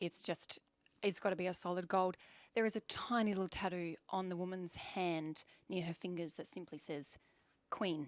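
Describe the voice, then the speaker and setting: An animated woman speaks with an Australian accent at a moderate pace. Her recording is very clean, the background silent. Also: fairly low pitch for a woman. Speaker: photography awards judge. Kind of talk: panel judging discussion.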